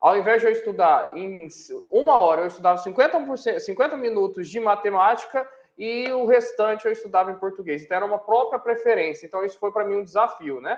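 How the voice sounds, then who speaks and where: A man's pitch varies in an ordinary way as he talks fairly quickly. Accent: São Paulo countryside. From interior of São Paulo state, Brazil. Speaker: university professor. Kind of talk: interview. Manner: hesitant, with fillers and self-corrections.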